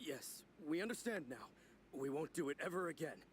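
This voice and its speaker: A man does a raspy put-on character voice at a fairly high pitch with lively intonation. He talks fairly quickly over clear background noise. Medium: video game.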